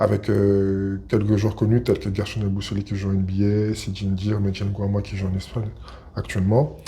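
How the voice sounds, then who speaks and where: Over noticeable background noise, a man speaks in a fairly low pitch with monotone, flat intonation. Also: moderate pace. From Paris region, France. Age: 30s. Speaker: basketball player. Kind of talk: interview. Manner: hesitant, many fillers.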